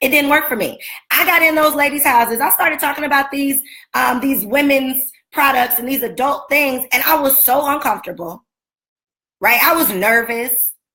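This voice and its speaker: Shouting in a raised, projected voice, a woman with an American accent sounds animated and passionate, her pitch high with ordinary variation at a moderate pace. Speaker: business coach and speaker. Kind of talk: motivational talk on a livestream. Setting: Facebook and Instagram live video. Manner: animated, passionate, often yelling.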